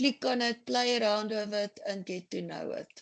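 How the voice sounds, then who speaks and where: Against a quiet background, a woman with a plain, everyday voice talks at a fairly slow pace with ordinary pitch variation. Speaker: software trainer. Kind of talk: tutorial.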